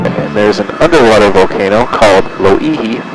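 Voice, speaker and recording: A man talks with clear music in the background. The sound is dry, with no echo. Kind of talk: tour guide commentary. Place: plane.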